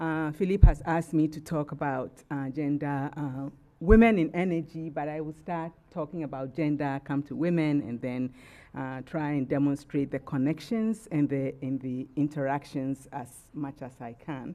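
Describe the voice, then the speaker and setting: A woman's very deep, low pitch in a dark, mellow tone, with ordinary pitch variation, big swings in loudness and a moderate pace, in a very clean recording with a silent background. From Ghana. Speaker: retired gender specialist, panelist. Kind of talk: presentation. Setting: panel event with live audience. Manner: drops volume at sentence ends.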